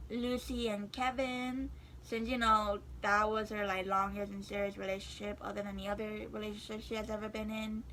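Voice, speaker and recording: A moderate pace amid noticeable background noise and audible room echo. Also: woman. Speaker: YouTuber. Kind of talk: casual vlog talk to camera. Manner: hesitant, many fillers.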